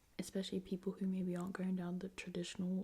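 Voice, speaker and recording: A somewhat breathy woman's voice at a medium pitch, dark and mellow in tone, with monotone, flat intonation. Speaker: younger sister of the channel owner, co-reader. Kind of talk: soft-spoken ASMR advice reading.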